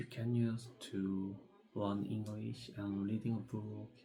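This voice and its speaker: Over music in the background, the speaker talks very slowly with a non-native accent and monotone, flat intonation. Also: man. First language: not English. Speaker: English learner. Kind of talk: practice presentation. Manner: halting; hesitant, many fillers.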